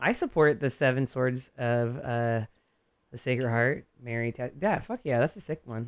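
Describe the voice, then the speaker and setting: A man speaks at a moderate pace with an ordinary speaking voice. His medium pitch follows fairly even intonation. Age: 40s. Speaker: radio DJ and barber. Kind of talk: casual chat.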